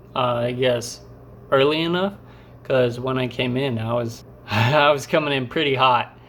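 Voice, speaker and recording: With audible room echo, a man speaks at a medium pitch. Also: fairly even intonation, moderate pace. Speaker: vlogger, skydiving student. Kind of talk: vlog narration over jump footage. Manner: casual, many fillers.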